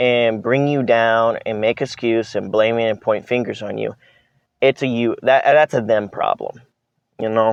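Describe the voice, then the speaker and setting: With an American accent, this speaker's pitch moves in an ordinary way. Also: man. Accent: sounds American, says English is strong. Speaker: vlogger. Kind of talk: casual vlog monologue. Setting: outdoors. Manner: hesitant, many fillers and restarts.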